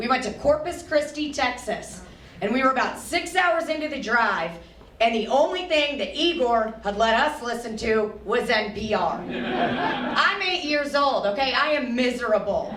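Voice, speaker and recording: A woman with an American accent and a high pitch, lively intonation and a moderate pace, amid audible room echo and noticeable background noise. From US Midwest, St. Louis, Missouri. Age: 20s. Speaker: comedian. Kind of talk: stand-up. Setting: stage with audience. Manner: animated.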